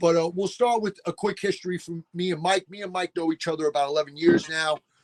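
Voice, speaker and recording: A man with a New York accent speaks at a very fast pace. His high voice keeps fairly even intonation. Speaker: sports podcast host, former football coach. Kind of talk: casual chat.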